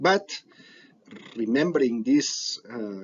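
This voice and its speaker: A man with a non-native accent. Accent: non-native English, self-described. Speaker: biomedical researcher. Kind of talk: conference talk. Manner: hesitant, with fillers and restarts.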